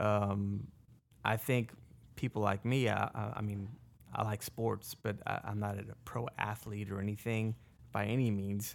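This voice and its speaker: A man speaks at a fairly slow pace in a fairly low pitch, with a flat, monotone delivery. Long pauses come often, and the recording is very clean with a silent background. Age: 40s. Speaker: podcast host. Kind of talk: casual chat.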